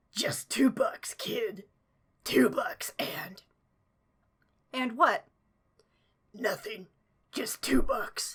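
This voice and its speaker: In a put-on character voice, someone whispers raspily at a very slow pace, leaving long, frequent pauses. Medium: read story. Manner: secretive, terse.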